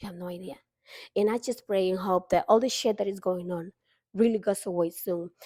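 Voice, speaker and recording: A woman talks in a Honduran accent at a fairly quick pace. Her pitch varies in an ordinary way. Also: dry, close sound with no echo, very clean recording, silent background. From Honduras. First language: Spanish. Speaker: vlogger. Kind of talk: casual monologue.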